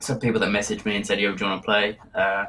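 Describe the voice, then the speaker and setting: A man speaks at a very fast pace. Noticeable background noise runs under his voice. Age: young. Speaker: streamer. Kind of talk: casual interview. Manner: hesitant.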